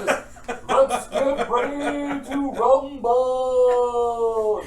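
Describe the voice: A man speaks in a put-on character voice with an extremely high pitch, with clear background noise behind him.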